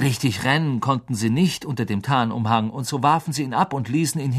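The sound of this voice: Ordinary pitch variation shows in this unforced reading voice.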